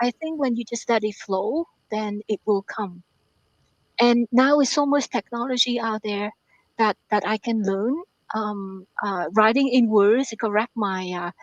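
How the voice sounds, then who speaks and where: A woman with a Vietnamese accent, fairly high pitch, ordinary pitch variation and a fairly slow pace, in a dry, close sound with no echo. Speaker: author and math professor. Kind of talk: interview. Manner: halting.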